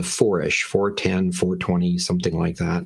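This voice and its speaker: Male speech, normal pitch movement, hushed backdrop. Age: 50s. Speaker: Bible teacher. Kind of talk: lecture. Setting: livestream. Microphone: webcam.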